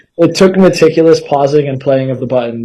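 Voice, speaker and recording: A man talks at a fairly quick pace. He has a plain, everyday voice with ordinary pitch variation. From Canada. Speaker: podcast host. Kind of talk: casual interview.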